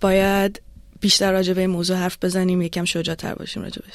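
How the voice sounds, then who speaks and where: Her delivery is very fast. She has a medium-pitched female voice. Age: 20s. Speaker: PhD student. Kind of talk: personal testimony in interview.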